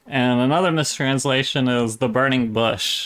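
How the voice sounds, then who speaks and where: With fairly even intonation and a moderate pace, a man speaks in a normal speaking voice at a medium pitch, in a very clean recording with a silent background. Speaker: online video channel host. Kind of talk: casual commentary and reaction.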